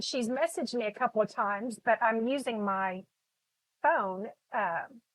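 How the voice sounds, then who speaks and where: Speaking at a fairly slow pace with lively intonation, a woman is heard in a dry, close sound with no echo. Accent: slight Texas. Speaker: artist teaching painting. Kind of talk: live painting tutorial. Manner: casual, many fillers and repetitions.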